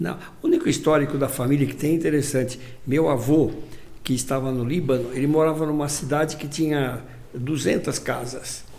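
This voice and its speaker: A man's fairly high voice at a moderate pace, with fairly even intonation, audible room echo and noticeable background noise. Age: 80s+. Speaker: physician and hospital director. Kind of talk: interview. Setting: studio. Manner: halting.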